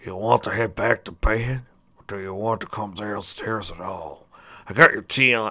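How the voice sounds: A man uses a put-on character voice, fairly low in pitch, with a bright, sharp tone and a slightly husky edge. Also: ordinary pitch variation, moderate pace.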